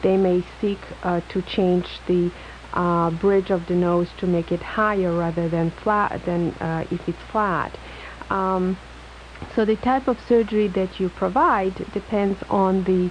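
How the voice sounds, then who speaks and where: A woman's medium-pitched voice in an Eastern European accent, fairly slow and fairly even in intonation, against noticeable background noise. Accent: foreign-sounding, Eastern European. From Poland, moved to US in high school. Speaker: plastic surgeon. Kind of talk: radio call-in interview. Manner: halting, many fillers.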